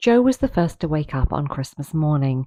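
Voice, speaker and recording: A woman speaks with a British accent at a very deep, low pitch in a dark, mellow tone. The sound is dry and close, with no echo. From Britain. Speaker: audiobook narrator for English learners. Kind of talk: reading aloud. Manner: steady pace; clear, careful.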